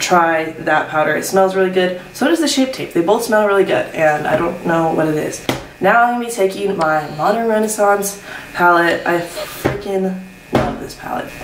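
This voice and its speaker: Music plays in the background as a woman speaks at a moderate pace with ordinary pitch variation, her voice carrying audible room echo. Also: medium pitch for a woman. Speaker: beauty vlogger. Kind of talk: makeup tutorial chat. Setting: at home, morning, roommates asleep. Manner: quiet, keeping voice down; casual, filler-heavy.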